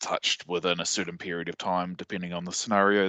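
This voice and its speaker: A man with a New Zealand accent and a very deep, low pitch, bright and sharp in tone, recorded dry and close with no echo against a quiet background. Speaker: sysadmin and conference speaker. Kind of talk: technical presentation. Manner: hesitant, many fillers.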